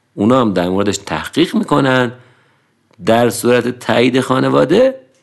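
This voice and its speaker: Speaking at a moderate pace, a man with a normal speaking voice uses lively intonation at a medium pitch. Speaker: podcast narrator. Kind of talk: scripted narration.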